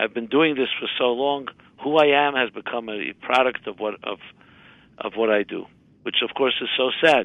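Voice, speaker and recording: With an American accent, someone speaks at a moderate pace with fairly even intonation in a plain, everyday voice. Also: man. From US, Brooklyn New York. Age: 60s. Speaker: rabbi and author. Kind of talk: interview.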